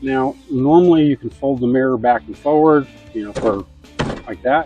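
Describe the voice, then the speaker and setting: A man with a medium-pitched voice speaks at a moderate pace while music plays in the background. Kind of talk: DIY tutorial talk to camera. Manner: casual, folksy.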